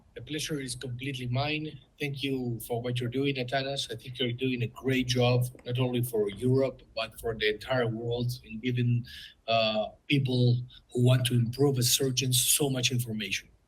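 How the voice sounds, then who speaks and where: A man talks at a moderate pace and a medium pitch. His intonation is monotone and flat, and his voice is somewhat breathy. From Uruguay. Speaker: ophthalmologist and surgical educator. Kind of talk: interview.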